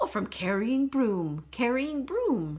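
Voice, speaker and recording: A put-on character voice, female-sounding and high-pitched, with very wide pitch swings at a fairly slow pace. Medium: read story. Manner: slow, repeats words.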